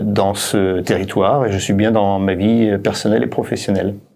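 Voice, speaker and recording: A man speaks with a fairly low pitch and fairly even intonation. Audible room echo surrounds the voice. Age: 60s. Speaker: company founder and director. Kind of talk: interview. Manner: halting, many hesitations.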